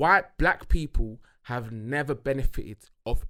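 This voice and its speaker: With a British accent, a man speaks in a bright, sharp tone. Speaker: podcast co-host. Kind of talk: casual chat. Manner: halting, repeats words.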